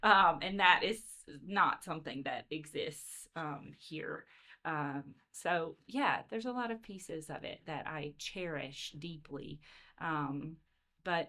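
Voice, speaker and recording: Here a woman speaks with a Southern US accent. Her pitch is very deep and low, and her pace is fairly slow. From Louisiana. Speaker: education consultant, former teacher. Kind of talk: podcast interview. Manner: hesitant, many fillers.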